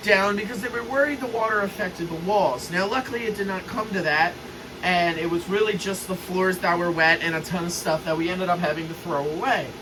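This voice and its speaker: A man's raised, projected voice, high in pitch, with audible room echo and noticeable background noise. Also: ordinary pitch variation, fairly quick pace. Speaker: model train hobbyist youtuber. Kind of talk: casual video update. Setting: basement train room. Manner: loud, speaking up over fans.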